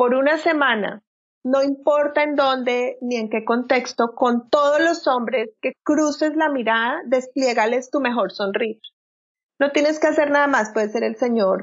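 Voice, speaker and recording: Ordinary pitch variation in a woman's high voice. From Colombia. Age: 40s. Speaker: personal transformation coach. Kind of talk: interview.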